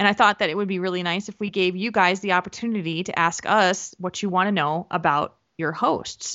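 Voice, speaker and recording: Hardly pausing, a woman talks at medium pitch with fairly even intonation in an ordinary speaking voice. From New Jersey. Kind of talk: casual chat.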